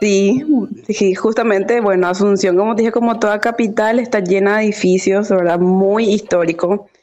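A woman with fairly even intonation, music playing in the background. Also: medium pitch for a woman, moderate pace, very even loudness. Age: 20s. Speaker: dance teacher. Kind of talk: interview.

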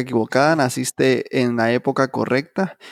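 Here a man with a normal speaking voice talks at a medium pitch and moderate pace, his intonation fairly even. The recording is very clean with a silent background, and the sound is dry and close with no echo. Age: 20s. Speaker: podcast co-host. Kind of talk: casual chat.

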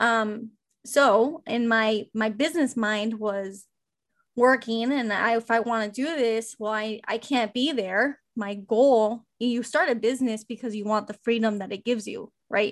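Over a quiet background, a woman speaks in a plain, everyday voice at a fairly high pitch. Her pace is fairly slow and her intonation fairly even. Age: 20s. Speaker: bakery owner and podcaster. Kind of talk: interview conversation.

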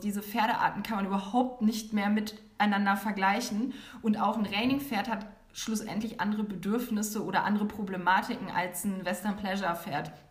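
A woman with a fairly high pitch talks at a moderate pace in fairly even intonation, with audible room echo and noticeable background noise. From northern Germany, near Hanover. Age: 30s. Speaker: equine therapist. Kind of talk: interview.

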